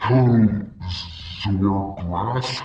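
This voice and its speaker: Putting on a character voice, a man speaks at a fairly low pitch. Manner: menacing.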